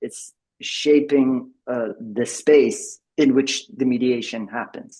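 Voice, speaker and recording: Speaking with a French accent, a man talks in a fairly high register. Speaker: tech company executive presenting a product. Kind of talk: presentation at an online member meeting. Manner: halting, with many repeated words and fillers.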